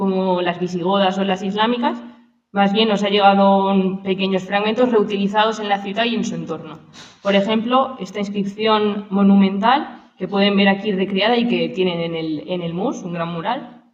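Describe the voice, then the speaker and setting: A woman's voice with fairly even intonation and audible room echo. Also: medium pitch for a woman. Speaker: archaeologist. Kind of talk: lecture. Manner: fast.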